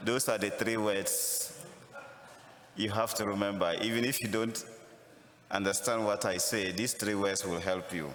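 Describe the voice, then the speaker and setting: A man with a Ghanaian accent speaks at a fairly low pitch, with ordinary pitch variation. Noticeable background noise and audible room echo are present. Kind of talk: sermon.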